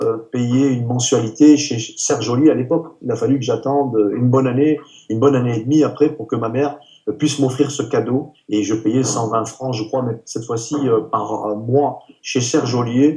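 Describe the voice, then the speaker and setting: This man's voice is somewhat breathy, with a dark, mellow tone and a medium pitch. He talks at a moderate pace with fairly even intonation. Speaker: retired professional bodybuilder. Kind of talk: interview. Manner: halting.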